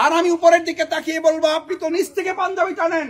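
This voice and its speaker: A man is shouting, loud and at an extremely high pitch. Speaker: Islamic preacher. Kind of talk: sermon. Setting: outdoor Eid prayer ground with congregation. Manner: loud, shouting; fiery, impassioned. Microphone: speaking without a microphone.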